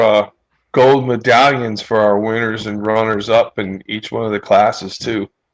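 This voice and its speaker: A man with an unremarkable speaking voice talks at a moderate pace, his pitch medium and his intonation fairly even. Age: 30s. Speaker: drag strip promoter and show host. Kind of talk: casual chat.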